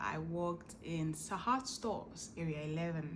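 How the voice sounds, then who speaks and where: A woman speaks with a fairly low pitch. Audible room echo surrounds her voice. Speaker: vlogger. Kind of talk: casual chat.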